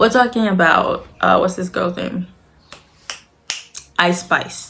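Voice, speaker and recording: A woman speaking very slowly over noticeable background noise. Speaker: commentary youtuber. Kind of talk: casual commentary vlog. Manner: casual, many fillers.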